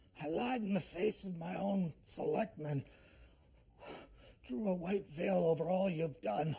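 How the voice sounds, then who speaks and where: A man uses a put-on character voice, pitched high with lively intonation. He moves at a fairly slow pace, leaving long, frequent pauses. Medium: short film.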